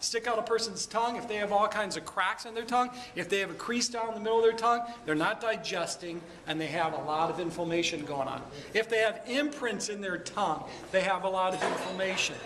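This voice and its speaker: A man's high voice with an American accent and ordinary pitch variation at a very fast pace over noticeable background noise. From Michigan, Detroit area. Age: 50s. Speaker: chiropractor. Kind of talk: talk to a networking group. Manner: animated.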